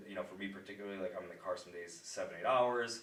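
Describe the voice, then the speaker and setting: Recorded with audible room echo and noticeable background noise, a man speaks with an American accent. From upstate New York. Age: 20s. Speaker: pharmaceutical sales rep. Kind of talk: casual podcast interview. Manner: halting, many fillers and restarts.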